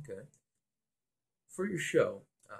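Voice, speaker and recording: A somewhat breathy man at a fairly slow pace, with lively intonation. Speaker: student radio host. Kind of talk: interviewer questions. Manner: nervous.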